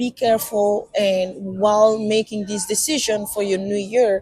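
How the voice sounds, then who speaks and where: Someone with a non-native accent speaks very slowly over noticeable background noise. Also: woman. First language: not English. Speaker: podcast co-host. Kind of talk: casual chat. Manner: halting.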